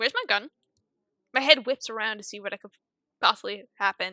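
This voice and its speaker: A woman with a fairly high pitch and a bright, sharp tone speaks in a dry, close recording with no echo. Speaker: streamer. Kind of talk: casual chat; reading aloud game text. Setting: live stream.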